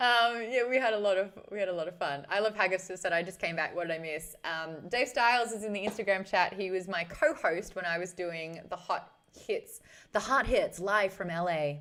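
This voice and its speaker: A woman speaks at a moderate pace in an Australian accent. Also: medium pitch for a woman, ordinary pitch variation. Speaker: streamer, former radio host. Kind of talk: casual live stream chat. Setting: live stream. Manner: animated.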